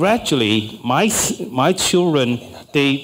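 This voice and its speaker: The speech moves at a very slow pace with lively intonation. Noticeable background noise runs underneath. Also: man. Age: 60s. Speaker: political science professor. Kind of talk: panel discussion.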